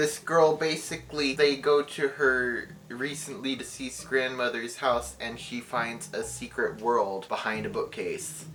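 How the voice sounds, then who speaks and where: Noticeable background noise accompanies talk delivered at a fairly slow pace. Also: hardly any pauses. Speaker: booktuber. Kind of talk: casual book recommendation video. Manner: halting, self-correcting.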